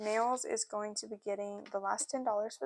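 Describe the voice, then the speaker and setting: In a dry, close sound with no echo, a woman with an ordinary speaking voice talks at a moderate pace, her fairly high pitch showing ordinary pitch variation. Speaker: cash-stuffing budgeting youtuber. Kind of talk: casual tutorial while budgeting. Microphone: new external microphone being tested.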